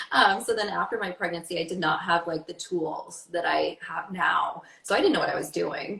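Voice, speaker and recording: The voice has an animated tone and moves at a moderate pace over noticeable background noise. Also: woman. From Maine. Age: 30s. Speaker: fitness and wellness coach. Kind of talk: interview. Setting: livestream.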